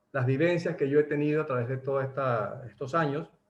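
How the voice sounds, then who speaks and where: This man's voice is somewhat breathy, with a fairly high pitch. He speaks at a fairly slow pace. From Venezuela. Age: 60s. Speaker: doctor and network marketer. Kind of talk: motivational talk. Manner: halting, many repetitions.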